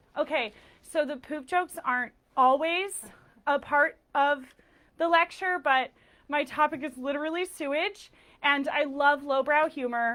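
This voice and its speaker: Loud and high-pitched, a woman talks at a fairly slow pace with a bright, sharp tone, fairly even intonation and long, frequent pauses. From Texas. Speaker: lecturer and nonprofit founder. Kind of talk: lecture. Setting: stage with live audience.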